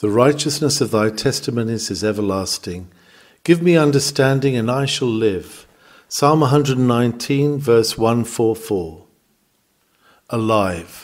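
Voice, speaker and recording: In a plain, everyday voice, a man speaks at a medium pitch and a fairly slow pace with ordinary pitch variation, on a very clean recording with a silent background. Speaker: sermon reader. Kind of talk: sermon reading.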